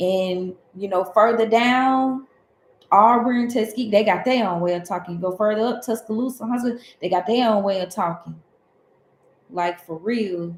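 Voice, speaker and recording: Moderate-paced speech from a woman, fairly high in pitch, its pitch variation ordinary. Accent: southern Alabama. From US South, Alabama. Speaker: tarot reader. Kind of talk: livestream casual talk. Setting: livestream.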